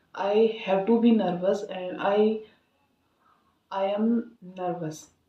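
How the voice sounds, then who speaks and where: Her voice at medium pitch, a woman speaks with monotone, flat intonation amid audible room echo. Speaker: English learner vlogger. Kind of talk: casual monologue, speaking practice. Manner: halting, many filler sounds.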